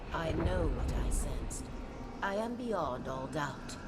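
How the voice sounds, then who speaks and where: A put-on character voice at a middle pitch speaks at a fairly slow pace over loud background noise. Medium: machinima. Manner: solemn, measured.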